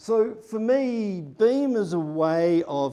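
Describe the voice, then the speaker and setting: In a New Zealand accent, a man speaks with a dark, mellow tone. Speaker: conference speaker, data consultant. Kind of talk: conference talk. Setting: stage with audience. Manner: casual, many fillers.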